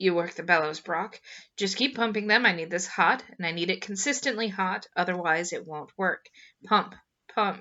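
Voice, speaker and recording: A woman does a put-on character voice at a medium pitch and a moderate pace. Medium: read story. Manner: brisk, practical.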